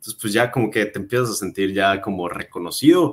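With lively intonation, a man talks at a fairly low pitch. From Mérida, Yucatán, Mexico; Yucatán, Mexico. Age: 20s. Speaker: real estate agent and content creator; content creator. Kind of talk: casual interview. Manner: hesitant, many fillers. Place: home room.

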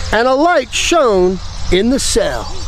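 A man's very slow speech with very wide pitch swings, in a dry sound with no echo and light background noise. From United States. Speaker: missionary preacher. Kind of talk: sermon. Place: waterside. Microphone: phone near.

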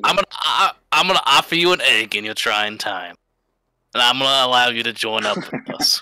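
Using a put-on character voice, a man talks at a moderate pace with medium pitch. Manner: friendly, recruiting.

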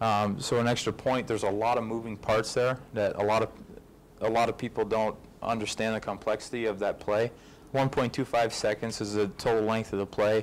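A man talks at a moderate pace with medium pitch and monotone, flat intonation. His loudness stays very even over light background noise. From Canada. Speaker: pro football kicker; guest. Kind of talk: fan event Q&A. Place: hall.

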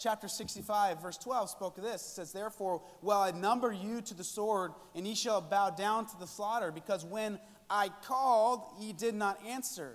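A man with a high pitch speaks at a moderate pace, his pitch varying in an ordinary way. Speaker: conference preacher. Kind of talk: sermon. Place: hall.

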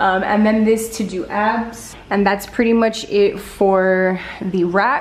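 A woman talks at a fairly slow pace with fairly even intonation. Audible room echo surrounds her voice. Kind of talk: casual vlog chat. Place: garage. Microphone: phone near.

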